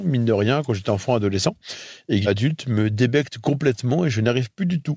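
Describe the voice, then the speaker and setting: Speaking with lively intonation and a fairly quick pace, a man is heard over a quiet background. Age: 30s. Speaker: testimony contributor. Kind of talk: testimony. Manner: halting.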